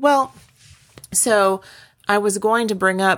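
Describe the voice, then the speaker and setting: Intonation is lively as a woman talks at a fairly slow pace in a plain, everyday voice. The recording is very clean, with a silent background. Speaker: podcast co-host. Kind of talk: casual chat.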